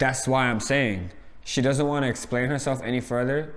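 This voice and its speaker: A man with a New York accent speaks at a medium pitch and a moderate pace. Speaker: reality TV reviewer. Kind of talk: casual chat. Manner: loud; animated.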